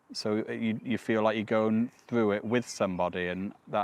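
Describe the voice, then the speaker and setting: In a plain, everyday voice, the speaker goes at a moderate pace with fairly even intonation. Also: man. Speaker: cancer survivor. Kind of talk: testimony.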